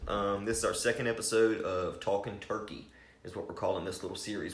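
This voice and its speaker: A man talks at a very fast pace in an Appalachian accent. Audible room echo surrounds his voice. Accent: Appalachian American. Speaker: hunting podcast host. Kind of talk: casual chat.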